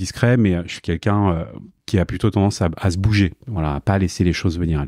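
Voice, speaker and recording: At a fairly quick pace, a man speaks at a very deep, low pitch in a dark, mellow tone, the sound dry and close with no echo. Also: very clean recording, silent background. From Paris, France. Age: 40s. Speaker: e-commerce director, freelancer. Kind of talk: interview. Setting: in person, Malakoff. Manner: hesitant, many fillers.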